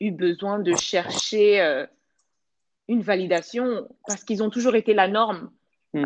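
Her pitch is medium. The voice is a woman's. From South Africa, Johannesburg. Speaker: storyteller and blogger. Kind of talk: interview. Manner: hesitant, many fillers.

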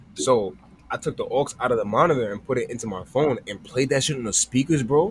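Somewhat breathy, a man talks at medium pitch and a fairly quick pace. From Long Island suburbs, New York. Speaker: podcast host. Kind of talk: casual chat.

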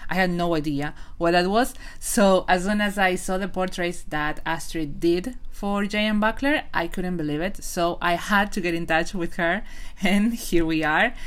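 In a room with audible echo, a woman speaks at a medium pitch. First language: not English. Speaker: podcast host and novelist. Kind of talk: interview. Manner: halting.

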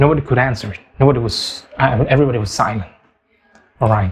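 A man with an Indonesian accent. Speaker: English learner podcaster. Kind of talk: personal story monologue. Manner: halting, many fillers and repetitions.

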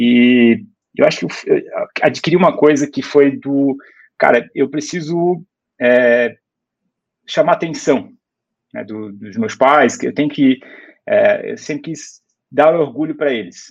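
The man's delivery is fairly slow. Long pauses come often. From Brusque, Santa Catarina, Brazil. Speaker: startup founder and former CEO. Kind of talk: casual interview conversation.

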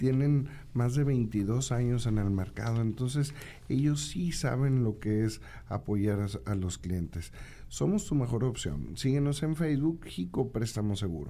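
With very wide pitch swings but very even loudness, a man speaks in a dark, mellow tone at a fairly slow pace. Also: medium pitch for a man. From Santiago, Nuevo León, Mexico. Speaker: radio host. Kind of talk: casual radio talk show.

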